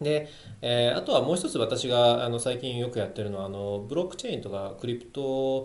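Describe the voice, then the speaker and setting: In audible room echo, a man with a Chinese accent speaks at a moderate pace. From China. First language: Chinese (speaking Japanese). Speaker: lawyer. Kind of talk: interview. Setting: office.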